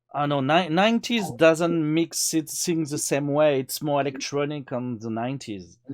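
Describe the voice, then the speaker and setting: A moderate pace with ordinary pitch variation, in a French accent. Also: man, fairly high pitch for a man. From France. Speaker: cameraman. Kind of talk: casual chat. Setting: live stream.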